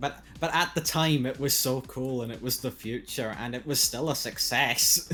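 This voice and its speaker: This man has an unremarkable speaking voice at a medium pitch. He keeps a moderate pace and fairly even intonation, with hardly any pauses. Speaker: podcast host. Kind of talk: casual chat.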